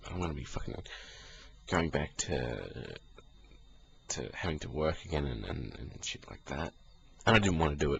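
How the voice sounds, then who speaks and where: A relaxed man with an Australian accent, very deep and low in pitch, at a moderate pace with lively intonation, vocal fry, long, frequent pauses and big swings in loudness. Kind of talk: casual talk to camera. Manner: relaxed, rambling.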